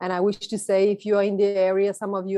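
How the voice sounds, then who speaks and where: A woman speaks with a Bulgarian accent. Her tone is dark and mellow. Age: 30s. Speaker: photographer. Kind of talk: presentation talk.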